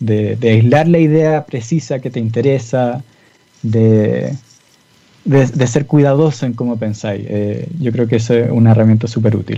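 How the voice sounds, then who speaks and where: A man speaks with a Chilean accent at a fairly slow pace. His pitch is medium, with ordinary pitch variation. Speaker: physicist. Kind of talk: interview.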